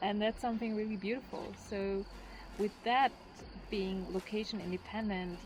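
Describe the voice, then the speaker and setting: The woman speaks at a moderate pace with a non-native accent. Her medium-pitched voice stays monotone and flat. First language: not English. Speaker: travel vlogger. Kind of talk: casual vlog talk to camera.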